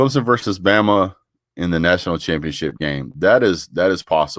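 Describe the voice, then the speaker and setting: A man's very deep, low pitch with vocal fry and very wide pitch swings. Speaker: sports talk show host. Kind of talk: casual live stream chat. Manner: fast, energetic.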